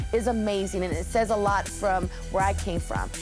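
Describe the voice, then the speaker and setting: Woman with an American accent at a fairly quick pace over music in the background. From Southern California. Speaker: radio host. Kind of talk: interview answer.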